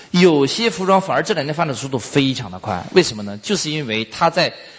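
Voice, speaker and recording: Talking at a fairly quick pace, a man with a fairly high pitch swings his voice very widely up and down. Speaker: business trainer. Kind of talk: lecture. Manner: casual, filler-heavy.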